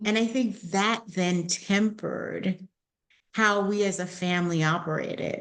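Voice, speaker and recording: A woman with an unremarkable speaking voice talks at a fairly slow pace, her pitch medium, her intonation fairly even and her loudness very even. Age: 60s. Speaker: wellness and inclusion coach. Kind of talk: interview podcast.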